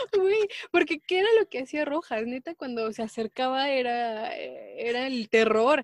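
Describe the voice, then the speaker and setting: With a Mexican accent, a woman speaks in a high voice at a fairly slow pace, her pitch swinging very widely with hardly any pauses, in a dry, close sound with no echo. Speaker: podcast co-host. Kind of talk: casual chat.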